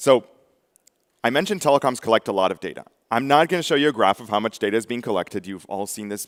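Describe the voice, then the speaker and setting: A man talks at a very fast pace with lively intonation. The recording is very clean, with a silent background and a dry, close sound with no echo. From Israel. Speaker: tech company speaker. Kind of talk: conference talk. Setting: stage with audience. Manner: casual, conversational with fillers.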